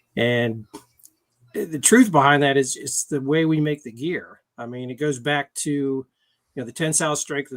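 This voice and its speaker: With a normal speaking voice, a man talks at a fairly high pitch and moderate pace, with ordinary pitch variation, big swings in loudness and a dry, close sound with no echo. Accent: American. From Washington DC area. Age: 60s. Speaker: motorcycle gear sales rep. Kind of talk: interview.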